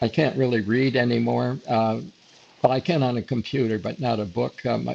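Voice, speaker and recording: There is noticeable background noise behind this man speaking with an American accent. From upstate New York. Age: 90s. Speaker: retired photographer. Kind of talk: interview. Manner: halting, many fillers.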